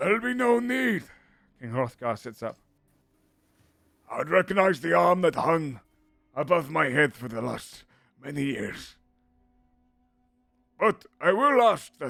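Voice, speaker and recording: A man uses a raspy, put-on character voice with a fairly high pitch, a fairly slow pace, very wide pitch swings, big swings in loudness and long, frequent pauses, while faint music plays in the background. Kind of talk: regal proclamation. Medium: actual play.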